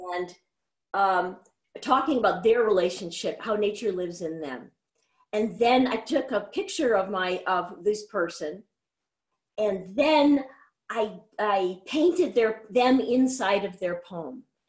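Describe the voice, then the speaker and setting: Over a quiet background, a woman talks at a fairly slow pace with long, frequent pauses. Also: lively intonation. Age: 50s. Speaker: artist and musician; interview guest. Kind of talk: interview. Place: home room. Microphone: video call.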